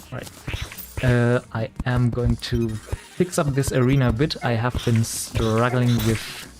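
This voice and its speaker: A medium-pitched man with a German accent at a very slow pace, showing ordinary pitch variation over music in the background. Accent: German accent, noticeable. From Germany (Bavaria). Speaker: video game streamer. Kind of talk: live stream commentary.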